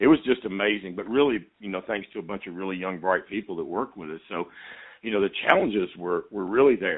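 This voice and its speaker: At a very fast pace, a man with a fairly low pitch talks with ordinary pitch variation and big swings in loudness. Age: 50s. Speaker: addiction medicine doctor. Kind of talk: interview. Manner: halting, repeats words.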